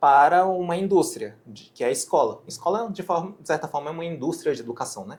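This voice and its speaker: Speech races at a very fast pace with hardly any pauses, lively intonation and big swings in loudness. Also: man, high pitch for a man. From Japan. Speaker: physician and medical educator. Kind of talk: interview. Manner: halting, with frequent self-corrections.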